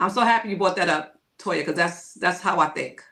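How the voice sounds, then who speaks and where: A woman speaks in a plain, everyday voice. Her medium pitch comes at a fairly quick pace. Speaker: podcast co-host. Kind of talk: casual chat.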